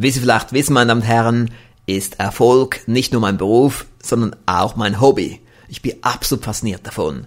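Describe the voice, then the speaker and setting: This man has an ordinary speaking voice, medium in pitch with ordinary pitch variation, and talks at a moderate pace. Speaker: podcast host and success seminar trainer. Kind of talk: scripted podcast monologue. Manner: formal. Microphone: good microphone with pop filter.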